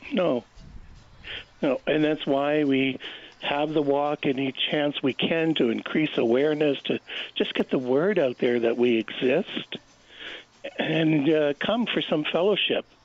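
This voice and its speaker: A man with a fairly high pitch speaks at a fairly slow pace with long, frequent pauses, ordinary pitch variation and very even loudness over noticeable background noise. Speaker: brain injury charity worker. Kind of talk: radio interview.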